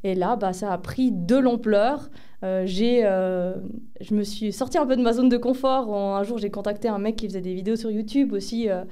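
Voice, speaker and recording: With audible room echo around her, a woman speaks at a moderate pace in a fairly high pitch and a dark, mellow tone. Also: ordinary pitch variation. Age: 30s. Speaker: medium and pharmacy assistant. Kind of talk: interview. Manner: hesitant, many fillers.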